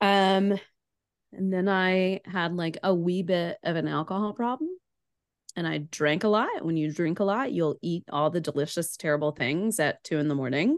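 An unremarkable speaking voice: a woman with an American accent, fairly low pitch and ordinary pitch variation talks at a moderate pace against a quiet background. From Chattanooga, Tennessee, US South. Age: 30s. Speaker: podcaster, former Ironman triathlete. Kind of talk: casual interview chat.

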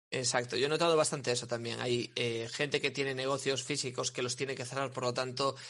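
A man talks at a fairly quick pace in a bright, sharp tone. His intonation is monotone and flat. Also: quiet background. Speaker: web developer and SEO entrepreneur. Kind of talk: casual interview chat.

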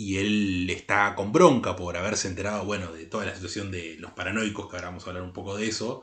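At a very fast pace with hardly any pauses, a man speaks in a fairly low voice with fairly even intonation and big swings in loudness. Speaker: podcast co-host, film critic. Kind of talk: casual chat.

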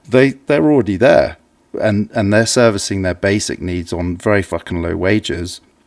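In an English accent, a man with a fairly low pitch speaks at a moderate pace with ordinary pitch variation. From England. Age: 40s. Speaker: artist. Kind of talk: casual chat.

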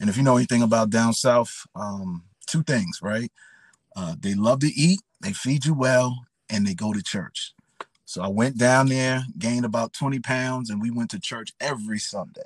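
Speaking at a moderate pace, a man with a New York accent has a medium pitch. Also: ordinary pitch variation. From New York City, the Bronx. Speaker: pastor. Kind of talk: testimony.

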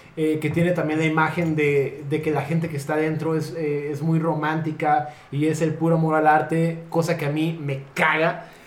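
The speaker has a Mexican accent and a monotone, flat intonation. Room echo is audible, and there is noticeable background noise. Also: man, fairly high pitch for a man, moderate pace, hardly any pauses. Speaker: podcast co-host, theatre producer. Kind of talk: casual chat.

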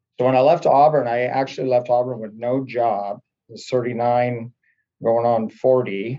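A man with a normal speaking voice and an American accent speaks at a medium pitch and a fairly slow pace. His intonation is fairly even, but his loudness swings a lot. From US Pacific Northwest (Oregon). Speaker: college track and field coach. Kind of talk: casual interview.

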